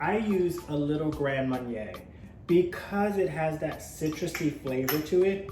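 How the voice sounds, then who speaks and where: With music in the background and audible room echo, a man with a New Orleans accent speaks at a fairly slow pace, his pitch fairly high and his pitch variation ordinary. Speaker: cooking show host. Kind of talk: cooking tutorial. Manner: casual, conversational.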